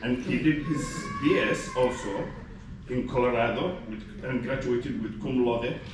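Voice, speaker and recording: Noticeable background noise and audible room echo surround the recording. A man speaks at medium pitch and a moderate pace with fairly even intonation. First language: Somali. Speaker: gastroenterology faculty physician. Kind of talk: ceremony speech. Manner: halting with many fillers.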